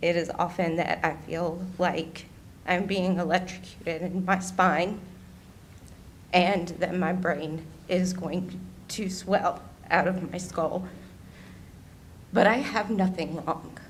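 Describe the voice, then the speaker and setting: A woman speaks very slowly in a shaky, somewhat breathy, fairly low voice, her flat monotone broken by long, frequent pauses amid audible room echo. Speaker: public commenter at county meeting. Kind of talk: public comment testimony. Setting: county board meeting.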